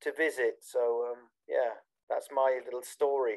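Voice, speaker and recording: A man with a British accent. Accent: very British. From southern England, Bournemouth. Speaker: techno DJ. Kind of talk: interview. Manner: hesitant, many fillers.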